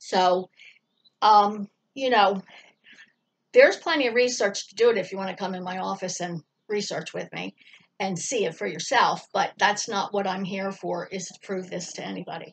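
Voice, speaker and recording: At medium pitch and a moderate pace, a woman speaks with vocal fry and big swings in loudness. Long, frequent pauses break up her speech. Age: 60s. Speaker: colon hydrotherapist. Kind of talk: interview answers. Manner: halting.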